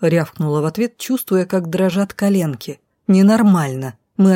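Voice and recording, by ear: The background stays quiet while someone reads aloud in a natural voice. Pitch varies in an ordinary way.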